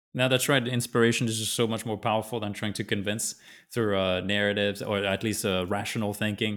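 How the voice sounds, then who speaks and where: The speech is fairly quick, with a French accent and monotone, flat intonation. The recording is very clean, with a silent background. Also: man, fairly low pitch for a man. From southern France. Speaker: podcast host. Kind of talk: interview.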